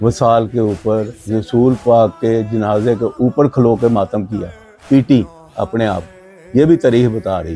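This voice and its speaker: Music plays in the background. A man talks at a medium pitch with ordinary pitch variation. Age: 70s. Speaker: elder of a mourning procession family. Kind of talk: interview storytelling.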